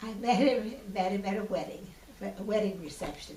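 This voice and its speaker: With an American accent, a woman at medium pitch talks at a moderate pace and with ordinary pitch variation amid noticeable background noise and audible room echo. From US Pacific Northwest (Washington, Idaho). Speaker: retired artist, oral history interviewee. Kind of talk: oral history interview. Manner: halting, with restarts and fillers.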